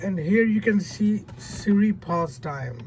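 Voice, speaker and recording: A man's intonation is lively as he talks at a very slow pace. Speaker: tech tutorial youtuber. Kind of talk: tutorial.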